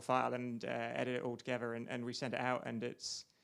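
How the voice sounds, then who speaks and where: The speaker talks at a very fast pace. The accent is British. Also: man. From UK. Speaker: biomedical researcher. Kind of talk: interview. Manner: animated; halting.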